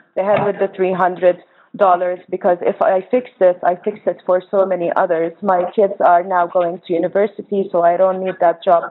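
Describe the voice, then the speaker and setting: Her medium-pitched voice stays monotone and flat as this woman talks at a moderate pace. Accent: Arabic. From Jordan, Palestinian family. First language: Arabic. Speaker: organizer and nonprofit co-director. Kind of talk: panel presentation.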